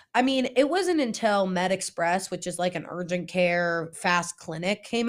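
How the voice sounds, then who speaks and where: Speaking at a fairly slow pace, a woman with an American accent has a medium pitch. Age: 20s. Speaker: youth pastor, podcast co-host. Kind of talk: casual chat.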